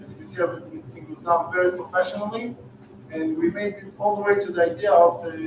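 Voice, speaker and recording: A man speaks very fast at a high pitch, his loudness swinging widely. Noticeable background noise sits under the recording. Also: ordinary pitch variation. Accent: Israeli. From Israel. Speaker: real estate investor and startup founder. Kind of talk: sales pitch.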